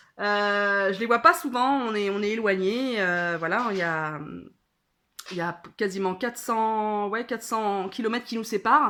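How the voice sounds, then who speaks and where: Fairly high-pitched and bright, sharp in tone, the woman's voice carries lively intonation at a fairly slow pace on a very clean recording with a silent background. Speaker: vlogger. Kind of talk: casual vlog chat. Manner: hesitant, many fillers.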